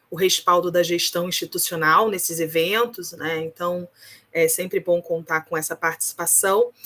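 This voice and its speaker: A woman's fairly low voice, fairly even intonation and moderate pace, with a dry, close sound and no echo. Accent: Rio de Janeiro. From Rio de Janeiro, Brazil. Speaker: research ethics committee coordinator. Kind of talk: opening remarks at online academic event. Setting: video call.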